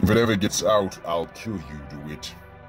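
A man does a put-on character voice that is booming and menacing, at a moderate pace. Clear music plays in the background. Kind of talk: gothic horror villain. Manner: menacing, imperious.

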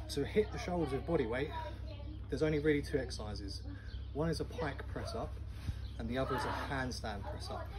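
A man talks fairly quickly. Loud background noise is present throughout. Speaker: fitness trainer. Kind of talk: tutorial. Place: garden. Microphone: camera far.

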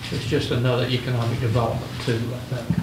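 Talking at a fast pace with little pitch movement, a man is heard amid audible room echo and clear background noise. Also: medium pitch for a man.

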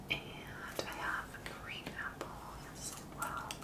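The speech moves at a very slow pace over loud background noise. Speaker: ASMR creator. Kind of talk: ASMR whisper video.

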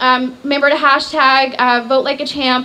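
There is noticeable background noise behind this woman. Her raised, projected voice is high in pitch. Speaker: nonprofit director. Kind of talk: speech. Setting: stage with audience.

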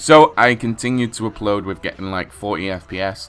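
At a fairly slow pace, a man speaks with a fairly low, bright, sharp voice and ordinary pitch variation. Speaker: gaming YouTuber. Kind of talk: solo commentary-style story video. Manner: animated, casual.

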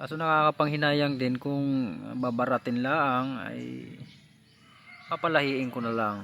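With music in the background, a man with a fairly high pitch speaks fairly slowly with ordinary pitch variation. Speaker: gamecock breeder vlogger. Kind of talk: casual vlog narration. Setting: outdoors at a poultry yard.

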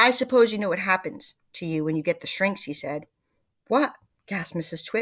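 This is reading aloud in a natural voice, with lively intonation. The background is quiet.

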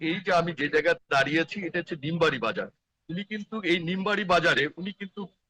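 A man's high-pitched voice, bright and sharp in tone, with ordinary pitch variation in a dry, close sound with no echo. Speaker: field reporter. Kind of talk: live news report. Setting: outdoors at a market. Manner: halting.

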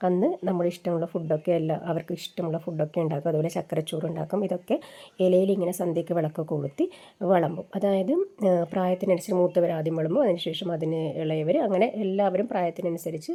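Fairly even intonation marks the woman's dark, mellow tone. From Kerala, Kasaragod district. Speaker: vlogger. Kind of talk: casual vlog narration.

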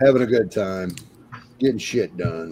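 A man talks very slowly, with ordinary pitch variation, as noticeable background noise fills the recording. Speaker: podcast co-host building Lego sets. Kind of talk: casual chat.

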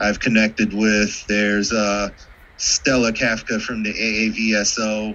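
At a fairly slow pace, a man talks in a fairly low pitch. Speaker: astronomy club board member. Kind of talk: club business meeting. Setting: video call. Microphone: video call.

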